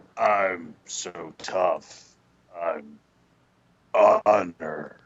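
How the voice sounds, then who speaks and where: Putting on a gruff character voice, a man speaks with a very deep, low pitch. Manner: tough, gruff, macho.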